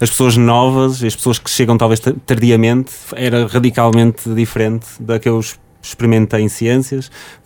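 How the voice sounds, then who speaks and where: A man talks at a moderate pace in a medium pitch. His tone is dark and mellow, his intonation monotone and flat. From Portugal, Porto. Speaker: recently graduated software engineer, former student radio host. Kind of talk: casual interview.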